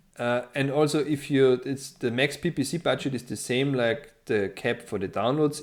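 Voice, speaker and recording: In a very clean recording with a silent background, a man with a non-native accent talks at a moderate pace and medium pitch. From Austria. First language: German. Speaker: financial modeling tutor. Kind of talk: tutorial. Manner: hesitant, many fillers.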